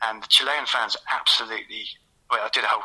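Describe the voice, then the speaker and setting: A man talks very fast in a Southeast English accent. Noticeable noise sits in the background. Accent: South-east English. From South London and Kent, England. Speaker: football author and podcaster. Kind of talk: casual interview.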